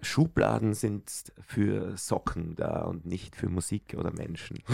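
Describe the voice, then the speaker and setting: A man's fairly low voice with vocal fry. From Austria, Styria (Bruck an der Mur). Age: 40s. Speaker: singer. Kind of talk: casual chat.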